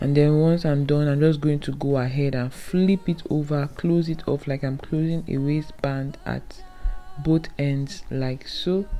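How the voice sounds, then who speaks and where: Speaking with a non-native accent, a woman uses a very deep, low voice with fairly even intonation at a fairly slow pace, over noticeable background noise. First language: not English. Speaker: sewing tutorial creator. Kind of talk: tutorial. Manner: casual, conversational.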